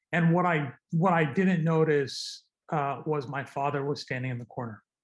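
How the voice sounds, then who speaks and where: A man talks at a moderate pace in a fairly high pitch for a man. His voice is somewhat breathy, with ordinary pitch variation. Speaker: trauma surgeon and advocate. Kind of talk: interview.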